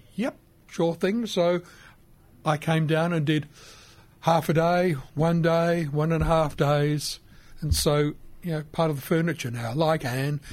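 With an Australian accent, a man talks at a fairly slow pace in a fairly high pitch, pausing long and often, his intonation fairly even, on a very clean recording with a silent background. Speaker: radio presenter. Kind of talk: casual chat. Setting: studio.

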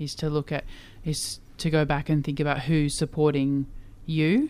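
The speaker has an Australian accent and a moderate pace. The recording is very clean, and the background is silent. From Queensland, Australia. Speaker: LGBTIQA+ community leader. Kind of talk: interview.

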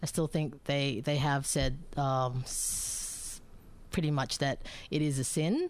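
Speaking at a fairly slow pace, a woman swings very widely in pitch on a very clean recording with a silent background. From Bangkok, Thailand (Filipino parents). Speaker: mother interviewed about same-sex parenting. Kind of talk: radio interview. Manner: hesitant, many fillers.

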